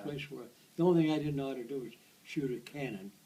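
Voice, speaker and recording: A man in an American accent speaks fairly quickly while noticeable noise fills the background. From United States. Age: 80s+. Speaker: World War II veteran. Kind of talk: interview answer.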